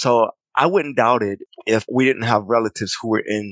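A man speaks in an unremarkable speaking voice, fairly low-pitched with ordinary pitch variation, at a moderate pace against a quiet background. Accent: American. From US South, Clinton, South Carolina. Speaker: artist and creative director. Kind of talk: casual interview, personal storytelling.

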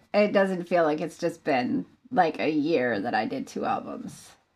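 A woman speaks at a fairly slow pace with vocal fry. Her pitch swings very widely. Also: hardly any pauses. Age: 20s. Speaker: singer-songwriter. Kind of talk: interview conversation.

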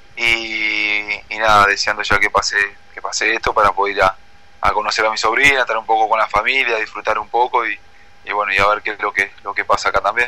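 Over noticeable background noise, a man talks at a fairly quick pace in a fairly low pitch with monotone, flat intonation. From Uruguay. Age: 20s. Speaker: footballer. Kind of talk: interview.

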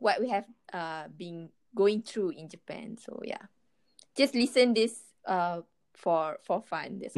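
Speaking at a very slow pace with long, frequent pauses, a woman uses a medium pitch and lively intonation. Her loudness swings widely. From northern Malaysia (Kedah). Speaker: former office worker in Japan. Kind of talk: casual chat. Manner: giggly, frequent laughter.

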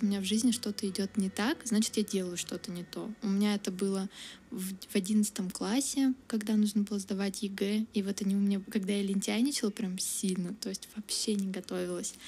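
At a fairly quick pace, a woman speaks with medium pitch, fairly even intonation and a dark, mellow tone that is somewhat breathy. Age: 20s. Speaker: university student. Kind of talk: interview. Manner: casual, many fillers.

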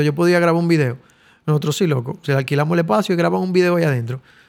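A man speaks very fast. The recording is very clean and the background is silent. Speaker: musician and studio owner. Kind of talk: casual interview.

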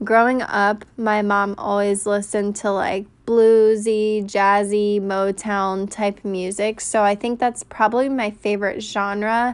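A woman with an American accent speaks at a fairly slow pace with hardly any pauses. Her medium-pitched voice stays monotone and flat. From US South, North Carolina (Raleigh). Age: 20s. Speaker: podcast host. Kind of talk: casual monologue. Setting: home recording on phone. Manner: talkative, loud.

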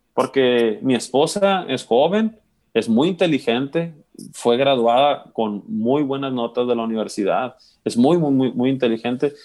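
With an unremarkable speaking voice, a man talks at a fairly slow pace, his medium pitch carried by lively intonation. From Mexico, Sinaloa (Guamúchil). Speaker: musician. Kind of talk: casual interview chat.

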